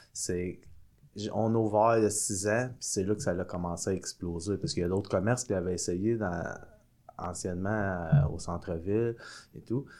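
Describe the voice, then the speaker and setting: A man with a dark, mellow tone speaks at a moderate pace, his fairly low pitch showing ordinary variation. The recording is very clean, with a silent background. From Quebec, Sorel-Tracy. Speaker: microbrewery co-owner. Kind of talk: casual chat. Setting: studio.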